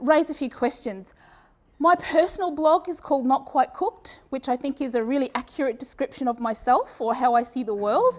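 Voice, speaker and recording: Speaking at a fairly quick pace with an Australian accent, a woman uses a high pitch and lively intonation. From Australia, Brisbane. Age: 40s. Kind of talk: conference presentation. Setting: stage with audience. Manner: casual, with many fillers and restarts.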